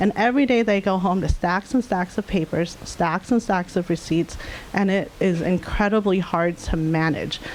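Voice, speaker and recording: Noticeable background noise sits behind a woman's medium-pitched voice. Her loudness is very even, and her pitch varies in an ordinary way. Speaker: data science leader. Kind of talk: conference talk. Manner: fast.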